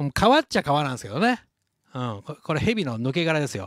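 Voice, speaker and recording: A man speaks with a Kansai accent. His pitch is fairly high. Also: quiet background, dry sound with no echo. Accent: Kansai Japanese. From Shodoshima, Kagawa, Japan. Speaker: leather craftsman. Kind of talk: casual live-stream chat. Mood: reflective, cheerful. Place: workshop.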